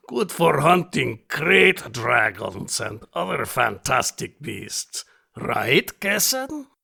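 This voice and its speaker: A man puts on a character voice at a medium pitch, speaking at a very slow pace. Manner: formal, courtly.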